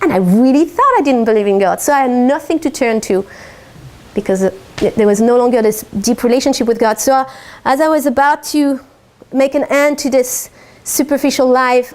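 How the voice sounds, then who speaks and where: At a fairly quick pace, a woman speaks with a high pitch, ordinary pitch variation and very even loudness. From France. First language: French. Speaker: life and business coach. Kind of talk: talk to a live audience.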